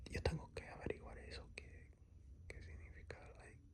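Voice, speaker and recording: A very fast whisper comes through over clearly audible background noise. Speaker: podcast host. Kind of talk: casual monologue. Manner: code-switching Spanish and English.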